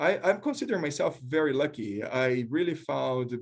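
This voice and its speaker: This is a man with a Brazilian accent. He speaks at a moderate pace. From Brazil, small town. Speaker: professor, leadership researcher. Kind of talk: panel discussion. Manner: halting, with repetitions.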